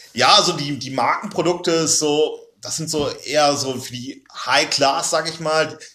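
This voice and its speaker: Against noticeable background noise, a man speaks with fairly even intonation but big swings in loudness. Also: fairly high pitch for a man, moderate pace. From Oldenburg, northern Germany. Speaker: podcast guest, student. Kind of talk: casual chat.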